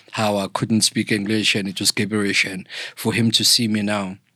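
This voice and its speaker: A man talks at a moderate pace in a bright, sharp tone. The recording is very clean, with a silent background. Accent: South African. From KwaZulu-Natal, South Africa. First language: isiZulu. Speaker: podcast guest, thought leader. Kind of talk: interview, personal storytelling.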